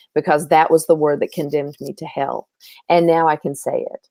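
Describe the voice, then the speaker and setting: Here a woman speaks fairly quickly in a fairly low pitch with a dark, mellow tone. The sound is dry and close with no echo, and the recording is very clean with a silent background. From US South. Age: 60s. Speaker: life coach. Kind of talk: interview conversation.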